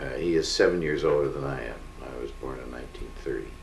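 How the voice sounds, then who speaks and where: The speaker has a Canadian accent and a fairly slow pace. Room echo is audible. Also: man. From Canada, Winnipeg. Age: 70s. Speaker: family elder sharing memories. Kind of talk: oral history interview. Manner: halting, with many fillers.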